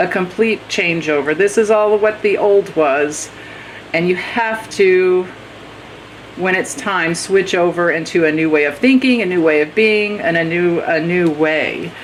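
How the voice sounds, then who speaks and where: At a moderate pace, a woman with an American accent speaks at medium pitch with ordinary pitch variation over noticeable background noise. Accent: occasional Texas. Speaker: tarot reader. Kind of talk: tarot reading monologue. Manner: casual, hesitant with fillers.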